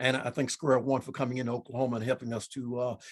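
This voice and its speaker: Breathy in a mild way, a man speaks at a very fast pace and a medium pitch. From US South, Memphis, Tennessee. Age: 60s. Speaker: state senator and pastor. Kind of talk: panel discussion. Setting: video call. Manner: halting, repeats words.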